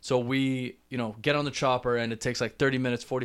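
A man with a Canadian accent speaks very fast at a medium pitch, his intonation monotone and flat. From Canada, Toronto. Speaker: podcast host. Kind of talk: solo storytelling monologue. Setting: talking to camera. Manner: casual, filler-heavy.

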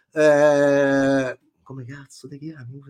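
The recording of this man is very clean, against a silent background. His tone is animated. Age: 40s. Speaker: film critic. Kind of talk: casual chat. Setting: live stream.

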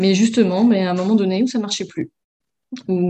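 At a moderate pace, a woman talks in a medium-pitched, somewhat breathy voice with a dark, mellow tone and fairly even intonation. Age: 30s. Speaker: former coaching client. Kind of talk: interview testimony.

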